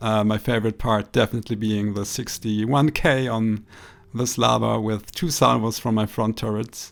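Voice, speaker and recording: A man with a non-native accent talks at a moderate pace and medium pitch, with ordinary pitch variation, on a very clean recording with a silent background. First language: not English. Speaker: gaming commentator. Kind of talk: gameplay commentary. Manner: hesitant, many fillers.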